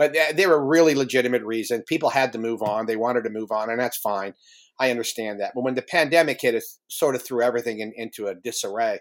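At a very fast pace, a man with an American accent speaks at a medium pitch with ordinary pitch variation. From US Midwest, northeastern Ohio. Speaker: former intelligence officer and UFO organization co-founder. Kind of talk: interview. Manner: halting, many fillers.

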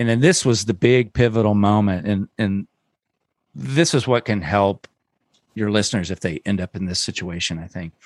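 In a plain, everyday voice, a man talks at a moderate pace and fairly low pitch with ordinary pitch variation, the sound dry and close with no echo over a quiet background. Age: 50s. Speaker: podcast co-host and producer, parent of a pro wakesurfer. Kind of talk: casual chat.

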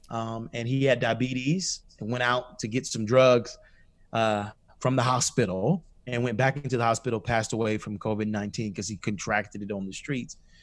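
A man with an American accent uses a normal speaking voice at a medium pitch, speaking at a moderate pace with ordinary pitch variation. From US South, Atlanta, Georgia. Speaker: pastor. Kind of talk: interview.

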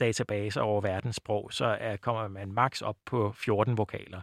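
A man speaks with a dry, close sound and no echo. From Bornholm, Denmark. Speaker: linguistics researcher. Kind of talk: interview about phonetics. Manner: hesitant with many fillers.

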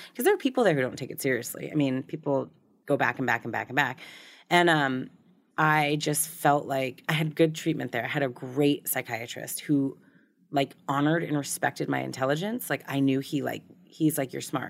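On a very clean recording with a silent background, a woman with an American accent and a very deep, low pitch speaks at a moderate pace with fairly even intonation. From Boston suburbs, Massachusetts. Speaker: recovery blogger and photographer. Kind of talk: casual interview chat.

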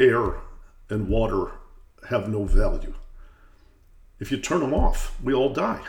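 A man with an American accent at a fairly slow pace, with long, frequent pauses and audible room echo. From US Midwest, Detroit. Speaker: podcast host, economics institute president. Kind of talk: interview.

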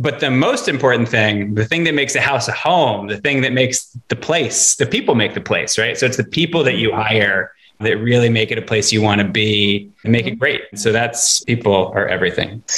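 The speaker has an American accent. The pace is moderate, with hardly any pauses. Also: man, medium pitch for a man, ordinary pitch variation. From Dallas, Texas. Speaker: finance founder and investor. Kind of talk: casual interview conversation. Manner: scattered, self-described ADD style.

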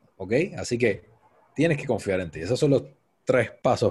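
Over a very clean recording with a silent background, a man with a Puerto Rican accent speaks at a moderate pace in a dark, mellow, somewhat breathy tone. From Puerto Rico, Cabo Rojo. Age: 30s. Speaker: event producer. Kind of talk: interview.

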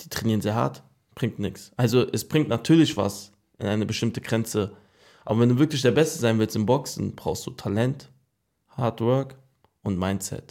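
A man talks at a moderate pace in a dark, mellow tone with medium pitch. The recording is very clean, with a silent background. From Germany, Frankfurt. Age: 20s. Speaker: boxer. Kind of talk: interview.

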